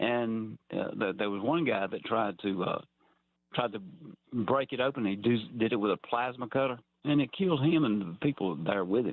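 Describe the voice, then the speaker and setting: A man's medium-pitched voice with a Georgia accent and lively intonation. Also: moderate pace. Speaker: caller. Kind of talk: call-in conversation. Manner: halting, repeats words.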